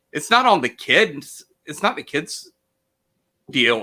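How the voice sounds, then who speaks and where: A loud man with a bright, sharp tone speaks at a moderate pace in a very clean recording with a silent background. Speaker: teacher and actor. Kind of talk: interview conversation. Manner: loud, boisterous.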